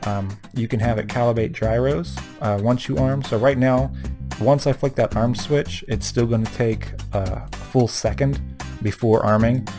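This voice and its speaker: Mumbling at a moderate pace over music in the background, a man with a medium pitch uses lively intonation. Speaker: RC hobbyist. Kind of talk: screen-recorded tutorial narration. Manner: mumbling, hesitant with many fillers; casual.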